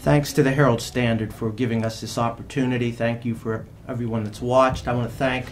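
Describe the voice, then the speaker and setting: With noticeable background noise and audible room echo, a man speaks fairly quickly at a medium pitch with monotone, flat intonation. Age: 50s. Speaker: judicial candidate, lawyer. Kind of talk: closing statement at candidate forum. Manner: halting, many filler uhs.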